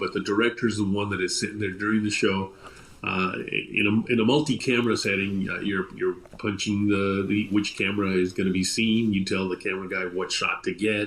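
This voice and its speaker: A man with an unremarkable speaking voice, fairly low in pitch, at a fairly quick pace. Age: 60s. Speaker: television director. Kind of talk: interview.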